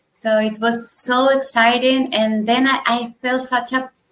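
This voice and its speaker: A woman speaks with a Spanish accent at a fairly high pitch. Her intonation is monotone and flat, and her pace is fairly slow. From Argentina. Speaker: software tester and conference speaker. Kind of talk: interview.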